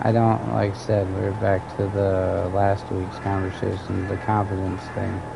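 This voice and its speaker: With audible room echo and noticeable background noise, a man speaks fairly slowly at a fairly low pitch in a monotone, flat delivery. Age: 30s. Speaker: gaming streamer. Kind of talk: casual chat.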